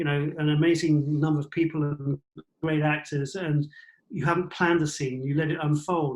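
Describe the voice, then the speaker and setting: With an English accent, a man speaks fairly quickly at a fairly high pitch in a monotone, flat delivery. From England. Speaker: cinematographer. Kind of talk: interview answer. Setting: online call.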